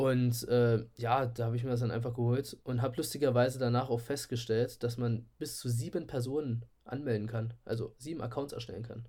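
At a fairly quick pace and with hardly any pauses, a man speaks in a medium pitch with monotone, flat intonation. His tone is dark and mellow, and somewhat breathy. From Saxony-Anhalt, Köthen area. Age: 20s. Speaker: podcast co-host, chemistry student and photographer. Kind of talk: casual chat. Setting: remote recording from home.

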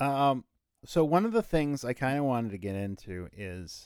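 The recording is very clean and the background silent. A man's medium-pitched voice rises and falls with lively intonation. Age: 40s. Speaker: podcast co-host. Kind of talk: casual chat.

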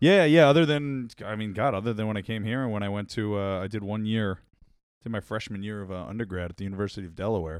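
In a Long Island accent, the speaker goes at a very fast pace with ordinary pitch variation, on a very clean recording with a silent background. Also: man, fairly low pitch for a man. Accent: New York (Long Island). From Long Island, New York. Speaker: podcast guest, media professional. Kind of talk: casual chat.

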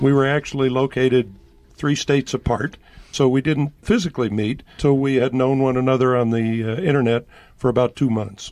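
Medium pitch and ordinary pitch variation in a man's unremarkable speaking voice. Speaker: guest, husband. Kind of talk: radio interview.

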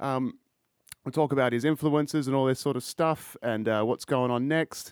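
This man speaks with an Australian accent in a fairly high voice, at a moderate pace and with ordinary pitch variation, recorded dry and close with no echo. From Perth, Australia. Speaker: podcast host. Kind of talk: casual interview chat. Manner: casual, laid-back, filler words.

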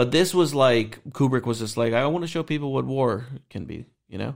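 Lively intonation and a fairly quick pace mark a normal speaking voice with an American accent, on a very clean recording with a silent background. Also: man. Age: 30s. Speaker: movie podcast host. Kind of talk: casual chat.

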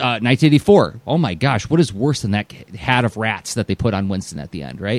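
A man talks with hardly any pauses, his lively intonation edged with vocal fry. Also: medium pitch for a man, dry, close sound with no echo. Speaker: cartoonist and teaching artist podcast host. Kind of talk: casual chat. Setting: studio. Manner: fast.

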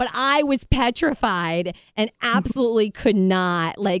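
An ordinary speaking voice, a woman's at medium pitch, moves at a fairly slow pace with lively intonation in a very clean recording with a silent background. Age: 30s. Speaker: radio host and podcaster. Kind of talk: casual chat.

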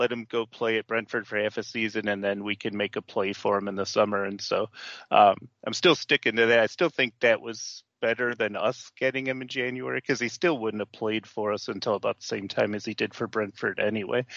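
A man speaks in a plain, everyday voice at a moderate pace with ordinary pitch variation. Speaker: podcast co-host. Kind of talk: casual chat.

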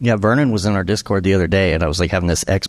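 Lively intonation and vocal fry from a man pitched very deep and low. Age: 40s. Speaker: podcast host and panel moderator. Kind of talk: live panel discussion. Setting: stage with audience.

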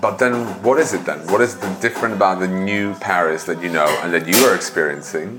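Over noticeable background noise, a man with a very deep, low voice talks at a fairly quick pace with lively intonation and hardly any pauses. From Prague, Czech Republic. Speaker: podcast host and food tour guide. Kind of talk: casual interview conversation.

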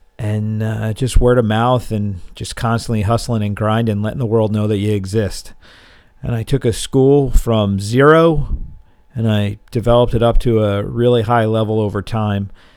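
A plain, everyday voice from a man, fairly low in pitch, fairly even in intonation, at a moderate pace, on a very clean recording with a silent background. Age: 40s. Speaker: martial arts coach and gym owner. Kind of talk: solo monologue podcast.

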